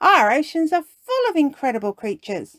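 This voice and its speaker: A put-on character voice, female-sounding and high-pitched for a woman, raised and projected, with very wide pitch swings at a moderate pace. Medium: read story. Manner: gentle, friendly.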